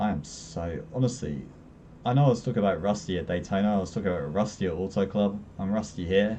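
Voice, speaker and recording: A man speaks very fast at a fairly low pitch, with ordinary pitch variation. His tone is dark and mellow, with vocal fry. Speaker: sim racing streamer. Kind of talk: live gameplay commentary. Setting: live stream.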